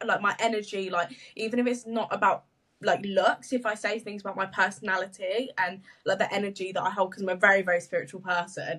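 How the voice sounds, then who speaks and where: A woman talks very fast at a medium pitch, her tone bright and sharp and her intonation fairly even. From English Midlands. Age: 20s. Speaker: social media business owner. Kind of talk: podcast interview. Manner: stumbles on words.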